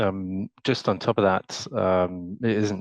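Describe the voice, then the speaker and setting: This man has a very deep, low pitch and a British accent. The background is quiet. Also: dry, close sound with no echo. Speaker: panelist in architecture workshop. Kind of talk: panel discussion. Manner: hesitant, many fillers.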